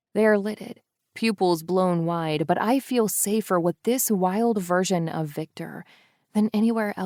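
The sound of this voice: Quiet background behind an unforced reading voice of ordinary pitch variation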